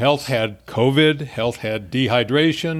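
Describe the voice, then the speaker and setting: A man's medium-pitched voice at a very slow pace, in a very clean recording with a silent background. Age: old. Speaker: podcast co-host. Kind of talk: casual chat.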